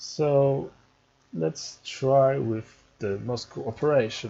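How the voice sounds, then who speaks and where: Somewhat breathy and dark, mellow in tone, a man at a medium pitch speaks at a very slow pace. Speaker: strategy game tutorial creator. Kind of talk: gameplay tutorial. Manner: halting, stumbling speech.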